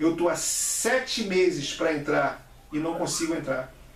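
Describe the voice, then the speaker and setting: Amid noticeable background noise and audible room echo, a man speaks at a high pitch with lively intonation. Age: 60s. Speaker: vlogger. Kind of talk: opinion monologue. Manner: halting, with repeated syllables.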